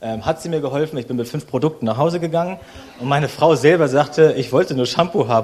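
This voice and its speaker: Rushing at a very fast pace, a man speaks in a fairly high pitch with ordinary pitch variation. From Berlin, Germany. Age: 30s. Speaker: guest preacher. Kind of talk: sermon.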